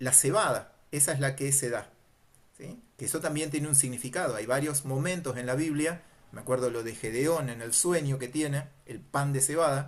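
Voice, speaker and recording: Here is a man with a fairly high voice and a plain, everyday voice. He keeps a moderate pace and fairly even intonation. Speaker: Bible teacher. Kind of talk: lecture.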